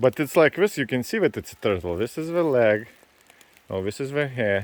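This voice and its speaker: With a non-native accent, a man talks at a moderate pace and a medium pitch in a relaxed tone with lively intonation, over noticeable background noise. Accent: foreign accent, moderate. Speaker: vlogger. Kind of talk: casual vlog narration. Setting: outdoors hiking by a lake in rain. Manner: relaxed, chatty.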